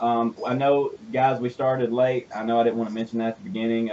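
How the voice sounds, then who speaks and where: A man's medium-pitched voice at a very fast pace. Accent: Southern US. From US South. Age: 20s. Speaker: radio show host and business owner. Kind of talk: radio interview. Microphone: connection trouble at start of show.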